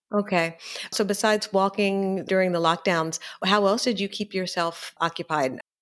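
In an ordinary speaking voice, a woman talks at a moderate pace with an American accent. Her pitch is medium and her intonation fairly even. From Philadelphia, US. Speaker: podcast host, property consultant. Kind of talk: podcast interview.

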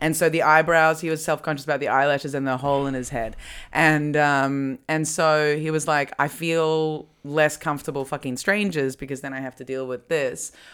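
In an Australian accent, a woman speaks with a very deep, low pitch and fairly even intonation. The recording is very clean against a silent background. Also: moderate pace. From Australia, Melbourne. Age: 30s. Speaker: comedy podcast host. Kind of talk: casual chat. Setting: at home.

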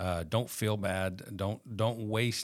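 With a Southern US accent, a man talks at a very slow pace in a fairly low pitch with fairly even intonation, recorded very cleanly over a silent background. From Arkansas, Fort Smith area. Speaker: real estate agent sharing recovery testimony. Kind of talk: testimony. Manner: halting, many fillers.

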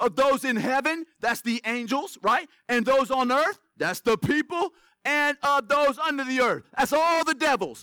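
Recorded dry and close with no echo, a man with an extremely high, bright and sharp voice speaks in an animated, raised and projected way at a fairly slow pace, with ordinary pitch variation. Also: very even loudness. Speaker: preacher. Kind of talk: sermon. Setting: church. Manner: call-and-response.

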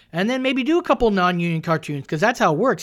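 A man with a high voice whose pitch swings very widely. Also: very clean recording, silent background. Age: 40s. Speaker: comedian. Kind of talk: casual chat. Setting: studio.

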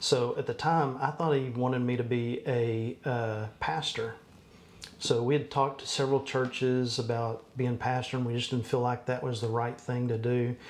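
A man speaks at a moderate pace with a Texan accent, his pitch medium and his intonation fairly even. Noticeable background noise runs under the recording. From Texas. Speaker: church business administrator. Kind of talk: casual interview.

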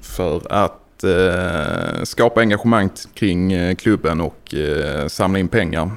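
This man has a plain, everyday voice with a fairly low pitch. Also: hardly any pauses. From Skåne, southern Sweden (Landskrona). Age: 30s. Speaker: football supporter, fan fund founder. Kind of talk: casual chat. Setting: studio.

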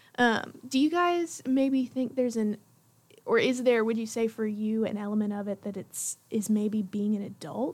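A woman speaks at a moderate pace in a fairly high, somewhat breathy voice. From Tennessee, Jackson. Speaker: student podcast host, news editor. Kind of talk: casual chat.

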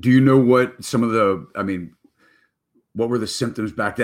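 A man talks at a moderate pace with ordinary pitch variation, in an ordinary speaking voice. The recording is very clean, with a silent background. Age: 50s. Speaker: real estate broker and show host. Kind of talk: live stream interview show. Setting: live stream.

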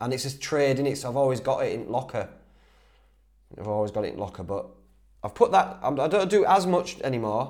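A man with a dark, mellow tone and a fairly high pitch talks at a fairly quick pace, his pitch swinging very widely. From northern England, Whitby, North Yorkshire. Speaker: outdoors YouTuber and podcast host. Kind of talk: solo Q&A, casual chat. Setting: recording with camera mic, partly echoey. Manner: animated.

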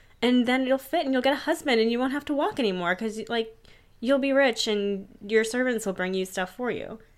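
With an American accent, a woman talks at a fairly quick pace in a high voice with ordinary pitch variation. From Pittsburgh, Pennsylvania. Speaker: podcast host. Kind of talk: casual chat. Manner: uptalk.

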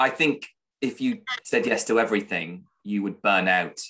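A man talks at a moderate pace. He has a British accent. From Britain. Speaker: freelance broadcast reporter. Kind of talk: casual interview chat.

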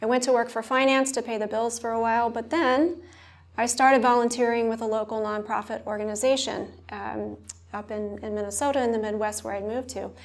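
With audible room echo, a woman with an American accent talks at a fairly quick pace, her fairly high pitch following a fairly even intonation. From US South, rural southern Mississippi. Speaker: health policy expert. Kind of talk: live panel interview. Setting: conference stage with audience.

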